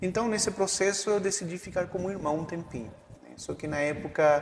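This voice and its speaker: Noticeable background noise sits under a man's voice. His pitch varies in an ordinary way. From Chile. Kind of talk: casual interview. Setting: his home. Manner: halting, with fillers.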